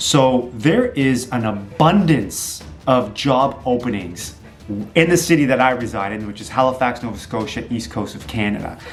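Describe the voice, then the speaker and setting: A man's medium-pitched voice with ordinary pitch variation, audible room echo and music in the background. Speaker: entrepreneur and realtor vlogger. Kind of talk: motivational talk to camera. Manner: fast; animated.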